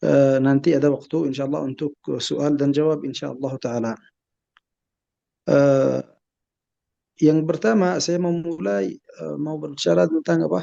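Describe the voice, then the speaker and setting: A man speaks at a fairly high pitch and a moderate pace. He leaves long, frequent pauses. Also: lively intonation. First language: Arabic (speaking Indonesian). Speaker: Islamic scholar. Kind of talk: lecture. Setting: webinar video call. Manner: halting, many hesitations.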